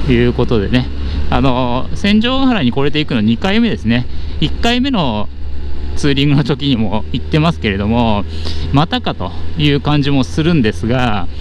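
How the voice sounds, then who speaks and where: A man talks at a moderate pace over light background noise. The sound is dry, with no echo. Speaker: motovlogger rider. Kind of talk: casual vlog chat. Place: motorbike. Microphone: helmet.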